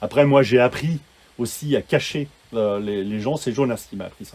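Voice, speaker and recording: This is a man's voice at medium pitch. His pitch variation is ordinary. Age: 60s. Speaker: sound engineer. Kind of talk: casual chat. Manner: halting, many repetitions.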